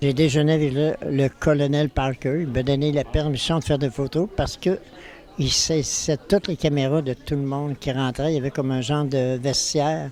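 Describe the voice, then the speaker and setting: A man talks at a moderate pace with a fairly high pitch and fairly even intonation. Noticeable background noise can be heard. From Quebec City, Quebec. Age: 80s+. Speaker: photographer. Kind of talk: interview. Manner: halting.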